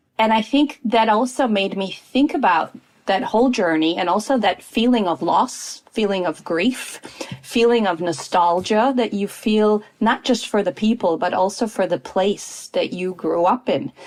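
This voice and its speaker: Someone speaks at a moderate pace in an American accent with ordinary pitch variation, over noticeable background noise. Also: woman, fairly high pitch for a woman. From United States, Polish family. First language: Polish. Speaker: intercultural consultant. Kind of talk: podcast interview.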